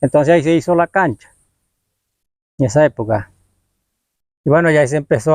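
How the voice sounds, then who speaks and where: A man speaks at a moderate pace with ordinary pitch variation, the sound dry and close with no echo. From Colombia, Caribbean north (Sierra Nevada, Kankuamo community). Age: 60s. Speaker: community elder, former local footballer. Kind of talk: interview, oral history. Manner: halting.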